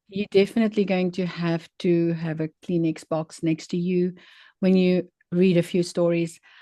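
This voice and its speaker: With a non-native accent, the speaker talks at a moderate pace in a dark, mellow tone with monotone, flat intonation and a dry, close sound with no echo. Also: woman, fairly low pitch for a woman. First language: not English. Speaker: author and grief survivor. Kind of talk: interview conversation. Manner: hesitant, many fillers.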